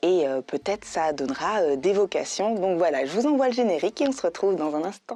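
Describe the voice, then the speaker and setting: A woman with a medium-pitched voice talks at a fairly quick pace with hardly any pauses and very wide pitch swings, the sound dry and close with no echo. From France. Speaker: voice actress. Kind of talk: casual talk to camera, introduction. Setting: recording studio.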